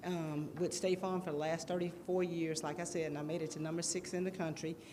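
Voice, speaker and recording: A woman's fairly low voice in a Southern US accent at a fairly quick pace, with audible room echo and noticeable background noise. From US South, Jackson. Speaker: city council candidate. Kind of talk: campaign speech. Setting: church hall with audience. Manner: halting.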